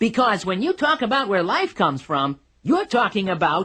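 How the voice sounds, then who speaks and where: This cartoonish character voice sits at a fairly high pitch and swings very widely up and down. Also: moderate pace. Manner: showy, self-satisfied.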